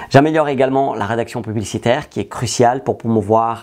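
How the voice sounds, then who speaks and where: A man speaks at medium pitch in a dark, mellow tone with fairly even intonation. The background is quiet. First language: not French (learned French at 13) (speaking French). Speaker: digital marketing trainer and entrepreneur. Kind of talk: tutorial. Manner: clear, structured delivery.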